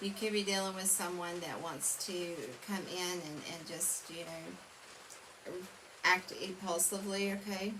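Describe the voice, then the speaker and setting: A woman talks at a fairly slow pace in a monotone, flat intonation. Audible room echo and noticeable background noise surround her voice. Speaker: tarot reader. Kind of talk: tarot reading monologue. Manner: mumbling; halting, many fillers.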